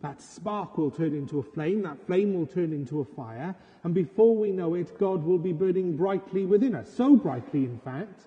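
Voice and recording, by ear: Speaking at a moderate pace with few pauses, a man uses a high voice with a husky, rough edge, a dark, mellow tone and lively intonation.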